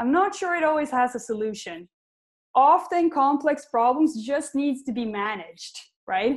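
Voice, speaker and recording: A woman with a Swedish accent, fairly slow delivery, high pitch and very wide pitch swings. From Sweden. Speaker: tech company CEO. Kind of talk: panel Q&A. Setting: online web conference.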